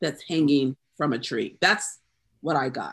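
A woman with a Southern US accent against a quiet background. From US South, South Carolina. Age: 50s. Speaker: poet. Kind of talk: casual chat.

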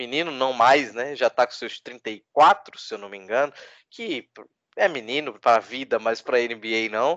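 A man speaks at a fairly slow pace and medium pitch, with ordinary pitch variation and big swings in loudness. The sound is dry and close with no echo, against a quiet background. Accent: Recife. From Brazil, Recife. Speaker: basketball podcaster. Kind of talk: casual chat.

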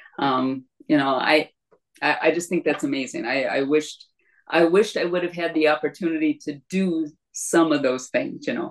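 In an Upper Midwest accent, a woman with a very deep, low pitch speaks at a moderate pace. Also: ordinary pitch variation. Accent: Upper Midwest American (Michigan). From northern Michigan, Leelanau County. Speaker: retired math teacher and former paralegal. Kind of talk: casual interview chat.

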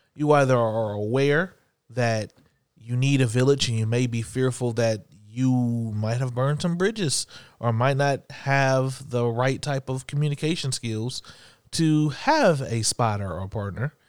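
On a very clean recording with a silent background, a man talks fairly slowly in an ordinary speaking voice of medium pitch with ordinary pitch variation. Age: 30s. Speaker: podcast co-host. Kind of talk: casual chat.

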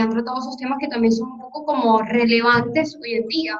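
Amid noticeable background noise, a woman with a high pitch speaks at a very fast pace with ordinary pitch variation. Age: 20s. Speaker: podcast host. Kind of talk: casual interview conversation.

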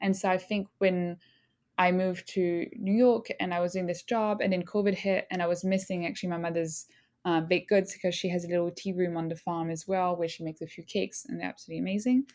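With a French accent, a woman speaks very fast at a medium pitch and with fairly even intonation, recorded very cleanly against a silent background. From southern France, small village. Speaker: bakery owner. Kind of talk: interview conversation.

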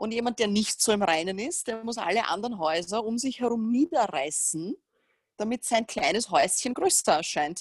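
A woman with a Viennese accent speaks at a moderate pace, her fairly high pitch swinging very widely. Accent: Viennese Austrian German. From Austria, Vienna. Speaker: fitness coach and trainer educator. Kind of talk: casual interview chat.

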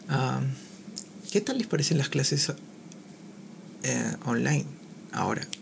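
Over noticeable background noise, a man talks at a very slow pace, leaving long, frequent pauses. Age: 20s. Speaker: podcaster. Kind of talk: casual monologue. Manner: halting, many fillers.

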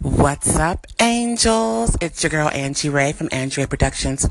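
A woman speaks in an animated tone at a fairly slow pace. Noticeable background noise is present. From US, Panamanian family. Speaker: podcaster and entertainer. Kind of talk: casual monologue.

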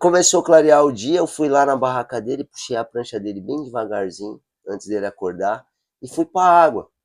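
Speaking at a fairly quick pace, a man with an unremarkable speaking voice uses lively intonation at a medium pitch. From São Paulo, Brazil. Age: 40s. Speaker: adaptive surfer and project founder. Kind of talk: casual chat.

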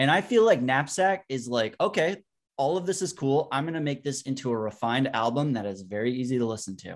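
A man's normal speaking voice, medium-pitched with lively intonation, against a quiet background. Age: 30s. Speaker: music content creator. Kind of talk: casual chat.

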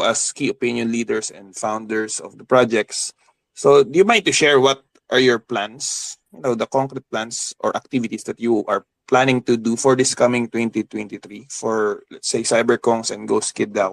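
An ordinary speaking voice from a man at a medium pitch and fairly slow pace, with big swings in loudness and a dry, close sound with no echo. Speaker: Twitter Space host. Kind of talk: moderated online panel discussion. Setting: Twitter Space audio call.

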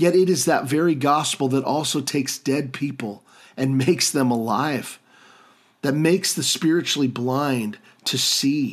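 A man speaks in a normal speaking voice at a moderate pace, his pitch fairly high, on a very clean recording with a silent background. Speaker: podcast host and pastor. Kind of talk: sermon-like teaching monologue with prayers. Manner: earnest, fervent, warmly pleading, heartfelt prayer.

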